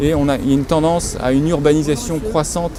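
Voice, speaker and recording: Noticeable background noise runs through the clip. The speaker keeps a moderate pace and fairly even intonation. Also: man. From northern France (Nord-Pas-de-Calais). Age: 40s. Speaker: local election candidate. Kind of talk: campaign interview statement. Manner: hesitant, many fillers.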